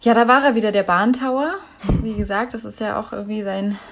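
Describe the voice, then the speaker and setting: Speaking in an unremarkable speaking voice, a woman with a fairly high pitch shows ordinary pitch variation. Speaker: podcast co-host, news presenter. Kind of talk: casual chat. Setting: at home. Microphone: deliberately uses a worse microphone.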